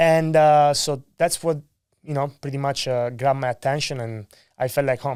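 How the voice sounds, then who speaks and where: Against a silent background in a very clean recording, a man talks at a moderate pace with a fairly high pitch. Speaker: solar sales rep. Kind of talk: podcast interview. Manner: animated.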